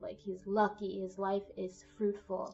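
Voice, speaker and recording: A fairly slow pace over music in the background. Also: woman. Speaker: tarot reader. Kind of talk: tarot reading to camera. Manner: casual, conversational.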